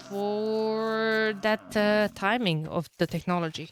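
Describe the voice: A woman speaks slowly at a medium pitch, with ordinary pitch variation and a clear, smooth tone in a dry, close sound with no echo.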